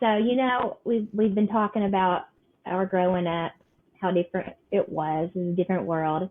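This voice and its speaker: With an Appalachian accent, a woman speaks at a moderate pace and a medium pitch, with ordinary pitch variation. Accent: Appalachian Kentucky. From eastern Kentucky. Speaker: podcast host. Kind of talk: casual chat.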